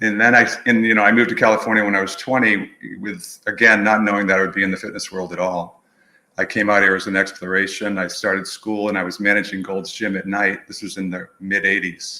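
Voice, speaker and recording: Talking very fast with an American accent, a man has a fairly low pitch, a bright, sharp tone and monotone, flat intonation. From New England, outside Boston. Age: 60s. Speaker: movement professional, studio owner. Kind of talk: podcast interview.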